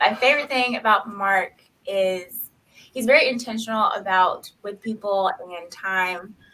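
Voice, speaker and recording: With a Southern US accent, a woman speaks at a fairly slow pace in a bright, sharp tone. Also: big swings in loudness. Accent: Southern country. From US South, Knoxville, Tennessee. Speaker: nurse. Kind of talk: casual interview chat.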